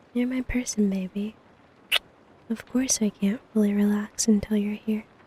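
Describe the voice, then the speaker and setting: Fairly high in pitch, a woman's voice has a dark, mellow tone and sounds somewhat breathy. Her intonation stays monotone and flat. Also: moderate pace. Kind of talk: ASMR girlfriend roleplay. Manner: affectionate, sleepy.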